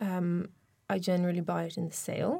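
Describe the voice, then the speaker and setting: In an Irish accent, a woman speaks at a moderate pace and medium pitch with a dark, mellow tone. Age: 30s. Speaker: social media expert. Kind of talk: interview.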